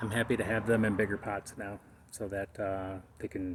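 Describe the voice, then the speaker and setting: Monotone, flat speech from a somewhat breathy man with a fairly low pitch, at a moderate pace. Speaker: cannabis home gardener. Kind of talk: casual video narration. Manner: halting, speech difficulty; many filler pauses.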